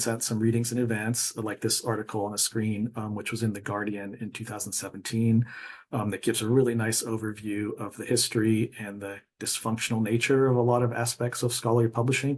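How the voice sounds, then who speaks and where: Against a quiet background, a man speaks somewhat breathily at a fairly quick pace, with hardly any pauses and monotone, flat intonation. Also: medium pitch for a man. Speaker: librarian presenter. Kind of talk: conference presentation. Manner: fast; hesitant, many fillers.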